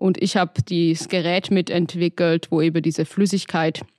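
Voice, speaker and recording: An ordinary speaking voice from a woman, fairly low in pitch, at a moderate pace with fairly even intonation, dry and close with no echo, over a quiet background. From Baden-Württemberg, Hohenlohe (Öhringen). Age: 20s. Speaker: entrepreneur and engineer. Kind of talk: interview. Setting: studio.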